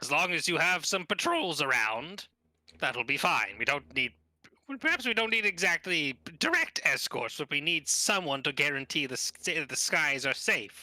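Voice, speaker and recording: Using a put-on character voice, a man speaks at a moderate pace and high pitch with very wide pitch swings, the sound dry and close with no echo. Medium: actual play. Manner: deliberate, dignified, hums thoughtfully.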